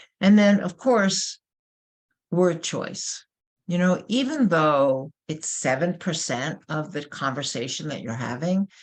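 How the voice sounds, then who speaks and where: Against a quiet background, a woman with a New York accent speaks fairly slowly in a fairly low voice whose pitch swings very widely. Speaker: corporate trainer. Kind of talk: webinar presentation.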